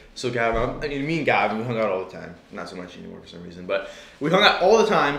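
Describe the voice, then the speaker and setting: A man's medium-pitched voice with an American accent at a very fast pace, very wide pitch swings and big swings in loudness, with audible room echo and noticeable background noise. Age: young. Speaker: filmmaker. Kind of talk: casual chat. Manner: animated.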